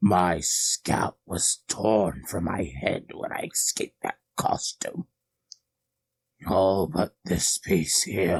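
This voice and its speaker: A man's put-on character voice, fairly low in pitch, at a very slow pace. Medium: read story. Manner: menacing, gloating.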